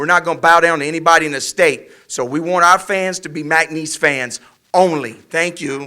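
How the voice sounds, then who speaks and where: A man's high, bright, sharp voice with an American accent, at a moderate pace and with ordinary pitch variation. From Louisiana, Welch (southwest Louisiana). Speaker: college football head coach. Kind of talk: press conference speech. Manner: passionate, emphatic.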